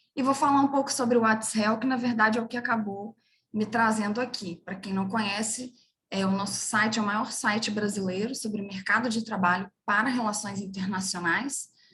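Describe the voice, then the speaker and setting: A woman's fairly high-pitched voice at a moderate pace, with fairly even intonation. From Brazil, interior of Minas Gerais. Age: 30s. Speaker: international relations professional, career website co-founder. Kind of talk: webinar career talk.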